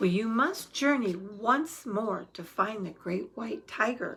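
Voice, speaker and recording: The put-on character voice sits at a fairly high pitch and moves at a fairly slow pace. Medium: read story. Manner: calm, soothing.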